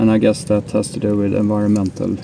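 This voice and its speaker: Noticeable background noise sits under fairly quick speech. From Sweden. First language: Swedish. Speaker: DIY tool and gear video maker. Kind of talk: tutorial with running commentary.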